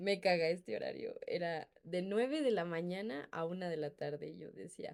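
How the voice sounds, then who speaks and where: Speaking at a moderate pace with hardly any pauses, a woman shows big swings in loudness. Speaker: podcast co-host. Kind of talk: casual chat.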